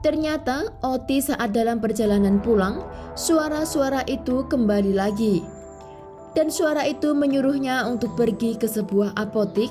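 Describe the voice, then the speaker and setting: Music plays in the background as a woman with a fairly high pitch speaks at very even loudness. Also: lively intonation, moderate pace. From East Java, Indonesia. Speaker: true crime narrator. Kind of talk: true crime narration.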